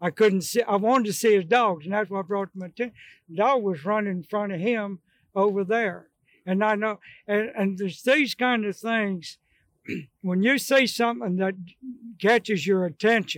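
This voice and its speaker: In a very clean, dry, close recording with a silent background and no echo, a man with an American accent speaks at a moderate pace with a high pitch and ordinary pitch variation. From Maryland / Pennsylvania, US Mid-Atlantic. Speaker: bird dog field trial trainer. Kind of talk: storytelling interview on stage. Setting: live at a hunting expo.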